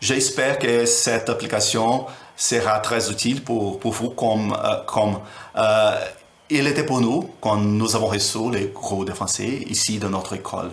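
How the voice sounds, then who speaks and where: A man speaks at a medium pitch and a fairly slow pace. Room echo can be heard. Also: fairly even intonation. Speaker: teacher. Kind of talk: tutorial. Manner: halting. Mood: friendly, warm.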